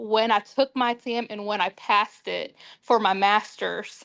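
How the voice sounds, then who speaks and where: Against a quiet background, a woman speaks with a fairly high pitch. Her intonation stays fairly even. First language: not English. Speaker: social worker preparing for licensing exam. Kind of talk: group discussion. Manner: hesitant, many fillers.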